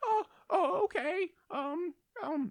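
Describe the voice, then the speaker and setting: An extremely high, squeaky voice. It is a put-on character voice. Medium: actual play.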